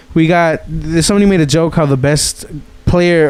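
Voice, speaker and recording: Noticeable background noise behind a man's fairly high pitch. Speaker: podcast host. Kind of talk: casual chat. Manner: animated; halting.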